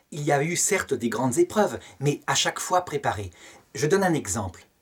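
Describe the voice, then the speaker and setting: Over a quiet background, a somewhat breathy man talks at a fairly quick pace, his pitch swinging very widely. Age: 50s. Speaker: theology teacher. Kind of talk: lecture. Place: home room. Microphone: webcam.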